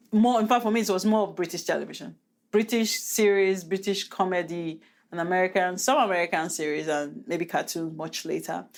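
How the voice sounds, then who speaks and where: Recorded very cleanly against a silent background, a woman speaks with a Nigerian accent. Her medium pitch shows ordinary variation, and her pace is fairly quick. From Nigeria, Delta State. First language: Nigerian Pidgin. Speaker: podcast host, hairstylist. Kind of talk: casual chat.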